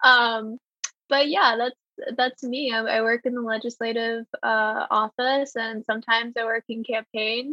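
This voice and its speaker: At a fairly slow pace, a woman speaks at a fairly high pitch with monotone, flat intonation. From Greensboro, North Carolina. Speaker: legislative aide. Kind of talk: casual chat.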